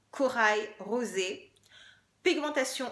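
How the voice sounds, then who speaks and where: In an animated tone, a woman talks with ordinary pitch variation. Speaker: beauty YouTuber. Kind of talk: makeup product review.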